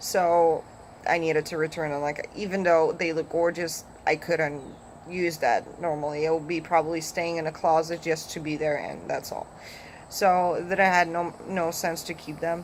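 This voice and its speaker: With a Polish accent, a woman speaks at a fairly low pitch in a monotone, flat way. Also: moderate pace. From Poland. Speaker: vlogger. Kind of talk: casual vlog talk. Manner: halting, with fillers.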